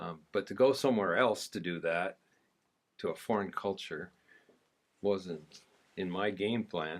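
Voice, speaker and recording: The voice has ordinary pitch variation and moves at a moderate pace. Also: man. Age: 60s. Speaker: missionary, former livestock worker. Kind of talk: testimony.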